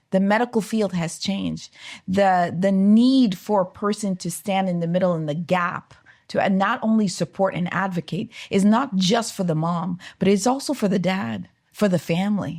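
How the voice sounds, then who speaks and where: A somewhat breathy woman at medium pitch, in a very clean recording with a silent background. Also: ordinary pitch variation, moderate pace. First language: French. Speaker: OB-GYN physician. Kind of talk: casual chat.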